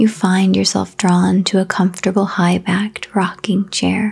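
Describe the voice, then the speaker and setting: Soft-spoken and calm, a woman talks at a fairly slow pace with hardly any pauses. Her pitch is medium and her intonation is monotone and flat. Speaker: meditation guide. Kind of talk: guided sleep meditation. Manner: slow, calm.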